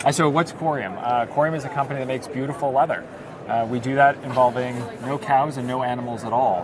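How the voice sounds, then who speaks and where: A man speaks at a very fast pace in an American accent. His pitch is medium with ordinary variation, and there is noticeable background noise. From United States. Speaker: startup executive. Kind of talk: interview. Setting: conference venue.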